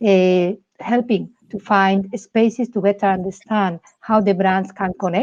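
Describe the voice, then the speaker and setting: A woman speaks in a Spanish accent with monotone, flat intonation. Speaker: insights executive, show host. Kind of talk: casual interview chat.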